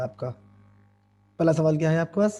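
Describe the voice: A man speaks with a fairly high pitch and ordinary pitch variation. His voice is hoarse, with a dark, mellow tone.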